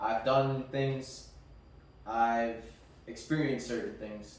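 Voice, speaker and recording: A man of medium pitch at a very slow pace, with audible room echo and noticeable background noise. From Mexican background. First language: Spanish. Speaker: podcast co-host. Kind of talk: casual chat.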